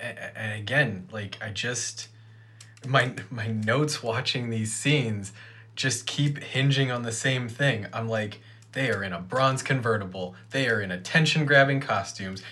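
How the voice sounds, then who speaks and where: Through audible room echo, a man with an American accent talks at a fairly slow pace. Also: medium pitch for a man, ordinary pitch variation. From Ohio. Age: 30s. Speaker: podcast co-host. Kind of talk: casual chat.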